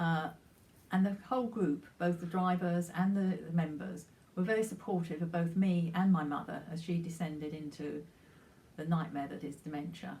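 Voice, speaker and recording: A woman with a fairly low pitch and a dark, mellow tone speaks at a moderate pace, somewhat breathy, with fairly even intonation. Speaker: retired charity volunteer. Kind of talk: personal anecdote. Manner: halting.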